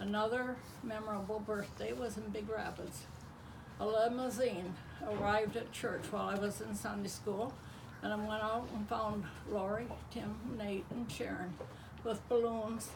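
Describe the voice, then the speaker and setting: Amid noticeable background noise and audible room echo, a woman speaks at a fairly high pitch and moderate pace, her intonation fairly even, with long, frequent pauses. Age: 80s+. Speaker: grandmother sharing life memories. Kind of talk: reading aloud a personal memoir to family.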